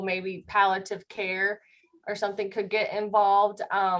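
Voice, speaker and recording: A woman speaks with an American accent at a medium pitch. Her pace is moderate. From US Midwest, northwest Iowa. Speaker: hospice chaplain. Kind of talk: talk and Q&A at a church class. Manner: hesitant, many fillers.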